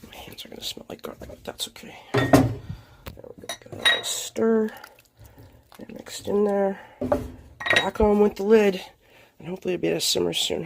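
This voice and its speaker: A woman at a moderate pace with long, frequent pauses, over noticeable background noise. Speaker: home cook. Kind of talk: casual cooking talk to camera. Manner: casual, chatty.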